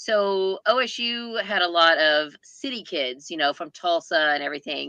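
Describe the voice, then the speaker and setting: A woman in an Oklahoma accent with lively intonation. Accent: Oklahoma Southern American. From US South, southeast Oklahoma. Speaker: booktuber. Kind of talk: casual chat.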